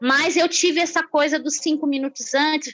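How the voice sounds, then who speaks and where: A woman's high-pitched voice over music in the background. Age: 50s. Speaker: social entrepreneur. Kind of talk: interview.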